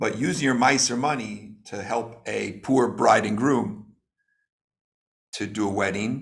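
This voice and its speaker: A man with a medium pitch speaks at a very slow pace, with vocal fry, ordinary pitch variation, and long, frequent pauses. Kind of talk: lecture. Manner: slow, deliberate; halting, many fillers.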